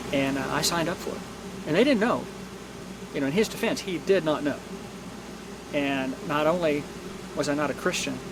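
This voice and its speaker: Noticeable background noise and audible room echo surround a man with a fairly high pitch. He talks at a fairly quick pace but leaves long, frequent pauses. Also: ordinary pitch variation. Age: 60s. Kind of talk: testimony. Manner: halting.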